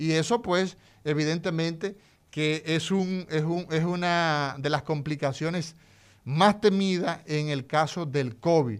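A very clean recording with a silent background carries speech at a very slow speed. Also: man, fairly high pitch for a man, ordinary pitch variation. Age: 40s. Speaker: neurosurgeon. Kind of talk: radio health talk.

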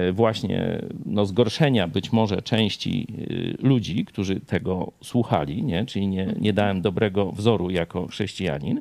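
Here a man talks at a fairly slow pace. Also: very clean recording, silent background. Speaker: pastor and TV host. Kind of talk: casual chat. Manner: loud, often raised voice.

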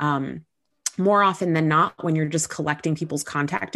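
With an American accent, a woman talks at a fairly quick pace in a fairly low voice against a quiet background. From Southern California. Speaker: customer success executive. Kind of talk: live Q&A interview.

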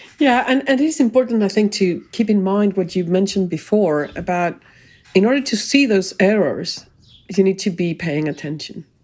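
With lively intonation, an unremarkable speaking voice talks at a moderate pace. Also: woman, medium pitch for a woman. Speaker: podcast co-host. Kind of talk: casual conversational podcast.

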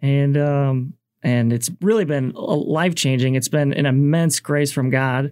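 Delivery is fairly slow, with fairly even intonation and very even loudness. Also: man, fairly high pitch for a man. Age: 30s. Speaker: church music director and blues pianist. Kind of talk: casual radio interview. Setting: radio studio. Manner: hesitant, many um and like fillers.

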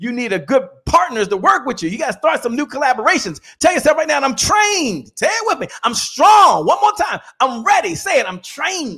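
Raising and projecting his voice, a man speaks at a fairly quick pace with an extremely high pitch and very wide pitch swings. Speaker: motivational speaker and sales coach. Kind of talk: pep talk. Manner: punchy, rallying, exhorting.

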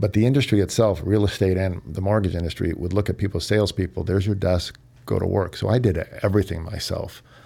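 A man with an American accent talks at a very fast pace in a fairly low pitch. His tone is dark and mellow, with ordinary pitch variation. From Kansas, Overland Park. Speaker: mortgage lender. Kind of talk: interview.

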